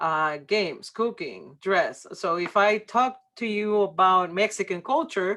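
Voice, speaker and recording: Against a quiet background, a woman with a slight Puerto Rican accent speaks at a very slow pace in a bright, sharp tone with ordinary pitch variation. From Puerto Rico. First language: Spanish. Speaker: workshop presenter on church ministry. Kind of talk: workshop presentation. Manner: many filler words and hesitations.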